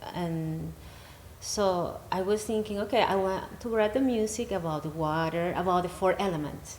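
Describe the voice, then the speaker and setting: Audible room echo surrounds a woman speaking at medium pitch and a moderate pace, with ordinary pitch variation. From Venezuela. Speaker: healing practitioner and musician. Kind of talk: interview. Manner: halting.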